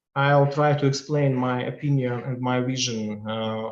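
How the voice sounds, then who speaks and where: A man with a Russian accent, medium pitch, monotone, flat intonation and a fairly slow pace. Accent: Russian accent, non-native English. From Russia, Chelyabinsk. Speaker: law professor and practicing advocate. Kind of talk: lecture. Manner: halting, many fillers.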